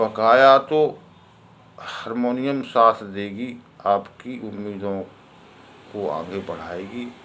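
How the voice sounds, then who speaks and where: A man with a medium pitch and ordinary pitch variation speaks with big swings in loudness and long, frequent pauses. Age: 50s. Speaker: harmonium teacher. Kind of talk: tutorial talk.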